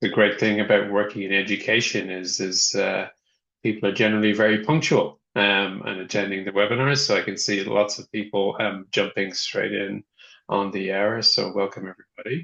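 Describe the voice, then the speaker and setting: A man with an Irish accent, a fairly low pitch and fairly even intonation. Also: moderate pace. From Ireland. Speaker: software company representative, webinar host. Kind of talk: webinar presentation. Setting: online webinar. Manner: hesitant, many fillers.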